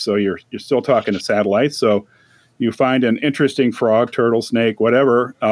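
A man with an American accent uses a plain, everyday voice, medium in pitch, with fairly even intonation. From St. Louis suburbs, Missouri. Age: 60s. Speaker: retired university employee, podcaster. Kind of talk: casual chat.

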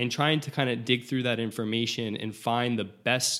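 A man with an American accent, medium pitch, vocal fry and a bright, sharp tone, at a moderate pace with ordinary pitch variation, on a very clean recording with a silent background. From South Florida. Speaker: transplant pharmacist. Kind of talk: interview. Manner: halting.

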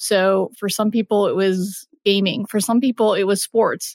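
A woman with an American accent speaks in an ordinary speaking voice at a medium pitch. Her pace is moderate, her intonation fairly even, and the recording very clean with a silent background. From Texas. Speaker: marketing lead in gaming. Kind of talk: interview.

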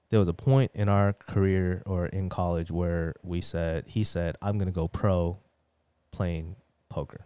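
On a very clean recording with a silent background and a dry, close sound free of echo, a man with a very deep, low pitch and a dark, mellow tone speaks fairly slowly with fairly even intonation. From US, moved from Taiwan at about five or six. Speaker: finance and sports card collector. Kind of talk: casual chat.

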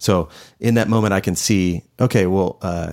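With an American accent, a man speaks at a very deep, low pitch and fairly even intonation. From Houston, Texas. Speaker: design team lead. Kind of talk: casual chat. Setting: studio, in-person video recording.

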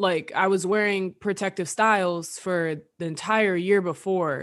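Against a quiet background, a woman with a fairly low pitch has an unremarkable speaking voice and ordinary pitch variation. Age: 20s. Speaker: podcast co-host. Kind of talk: casual chat.

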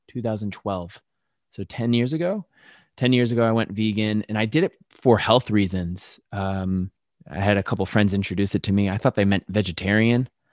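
A moderate pace with an American accent, in a dry, close sound with no echo and a quiet background. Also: man. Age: 30s. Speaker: vegan chef and cookbook author. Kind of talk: casual chat. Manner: animated.

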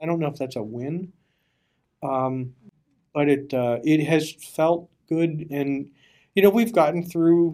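A man with an American accent talks at a moderate pace, his fairly high pitch showing ordinary variation. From eastern Pennsylvania, Bethlehem. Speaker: recovery advocacy executive director. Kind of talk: casual interview. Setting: recording studio. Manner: halting, repeats words.

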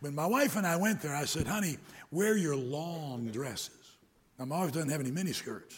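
Delivered at a fairly quick pace, a normal speaking voice comes through with an American accent. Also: man. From US Midwest, Detroit area. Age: 60s. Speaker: preacher. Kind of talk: sermon. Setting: church.

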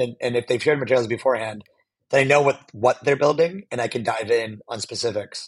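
A man's somewhat breathy voice. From US, Pittsburgh, Pennsylvania. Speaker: venture capital investor. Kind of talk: interview conversation.

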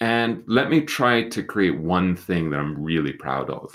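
A man's voice with vocal fry and very wide pitch swings, on a very clean recording with a silent background. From UK. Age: 50s. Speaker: writer. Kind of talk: casual chat.

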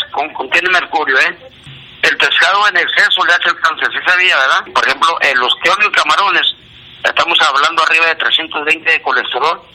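A man's high pitch, fairly even intonation and very even loudness over noticeable background noise. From northern Mexico border, Ciudad Juárez. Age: 60s. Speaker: amateur barefoot runner. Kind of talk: phone monologue of health tips. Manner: fast.

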